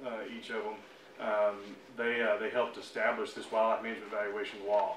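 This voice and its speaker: The man's voice carries audible room echo. Light background noise can be heard. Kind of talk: presentation to office staff. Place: meeting room. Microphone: camera far.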